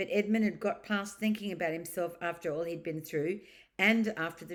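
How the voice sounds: A natural reading voice. Its pitch varies in an ordinary way.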